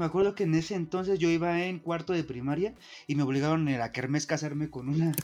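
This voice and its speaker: Speech comes at a very fast pace. The pitch variation is ordinary. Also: man, fairly high pitch for a man. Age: 30s. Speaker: podcast co-host. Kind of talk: casual chat. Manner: animated.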